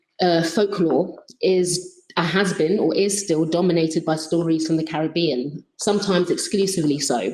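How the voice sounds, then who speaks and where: A London accent at a moderate pace. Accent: British (London). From London, England. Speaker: researcher. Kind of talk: conference presentation. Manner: halting.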